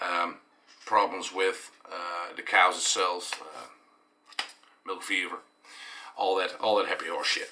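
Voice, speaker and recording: A man at a very slow pace with long, frequent pauses, over noticeable background noise. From eastern Netherlands. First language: Dutch. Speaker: dairy farmer and vlogger. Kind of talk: explanatory vlog monologue. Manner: halting, many fillers.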